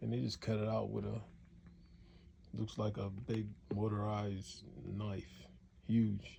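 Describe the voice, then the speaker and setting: Somewhat breathy and dark, mellow in tone, a man's fairly low voice moves at a fairly slow pace with long, frequent pauses. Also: ordinary pitch variation. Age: 70s. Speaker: upholsterer. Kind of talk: casual workshop talk to camera. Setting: home upholstery shop.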